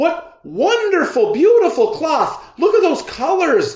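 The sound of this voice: A man puts on a character voice at an extremely high pitch with very wide pitch swings. He talks at a fairly slow pace.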